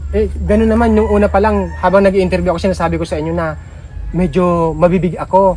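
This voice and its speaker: Noticeable noise runs in the background as this man rushes through his words very rapidly. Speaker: charity vlogger. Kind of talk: casual vlog talk to viewers. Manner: loud.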